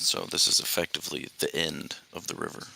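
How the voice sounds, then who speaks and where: In a put-on character voice, a man speaks raspily at a fairly quick pace. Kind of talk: tabletop game narration. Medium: actual play. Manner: halting, filler-heavy, casual.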